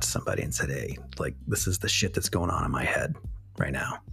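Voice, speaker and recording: A man whispers at a very fast pace with music in the background. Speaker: podcast host. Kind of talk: solo monologue. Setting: recording at night. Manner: halting, many fillers.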